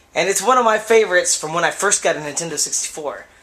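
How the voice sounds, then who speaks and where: Over background music, a man talks very fast in a high voice with lively intonation. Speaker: video game reviewer. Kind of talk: casual gameplay commentary.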